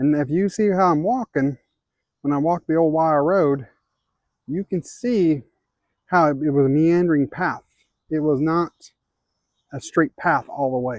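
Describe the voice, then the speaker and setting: With an American accent, a man talks at a fairly slow pace in a fairly high voice with ordinary pitch variation and long, frequent pauses, on a very clean recording with a silent background and a dry, close sound with no echo. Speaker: outdoor vlogger. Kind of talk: walking vlog narration. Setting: outdoors.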